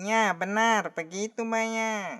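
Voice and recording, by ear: A cartoonish character voice at a fairly high pitch. The background is quiet.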